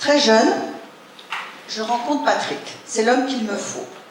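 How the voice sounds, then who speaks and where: A woman speaks at a fairly high pitch with noticeable background noise. Audible room echo surrounds her voice. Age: 60s. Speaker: speaker sharing life story. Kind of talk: personal testimony talk.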